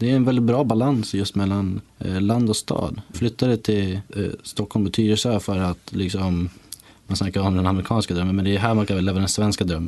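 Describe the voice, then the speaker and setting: A man talks in a plain, everyday voice, fairly low in pitch. He keeps a moderate pace and fairly even intonation. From Sweden, Ramnes (Västmanland). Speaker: cyclist. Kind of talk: casual interview.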